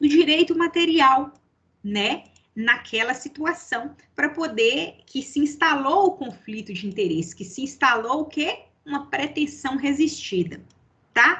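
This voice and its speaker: A woman's raised, projected voice, high in pitch and bright and sharp in tone, with lively intonation at a fairly slow pace. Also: big swings in loudness. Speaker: law professor. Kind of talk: lecture.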